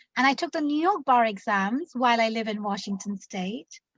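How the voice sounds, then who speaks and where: A woman's bright, sharp voice with an English accent, lively intonation, and a dry, close sound with no echo. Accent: British (English). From London, England. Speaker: immigration attorney. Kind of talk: interview.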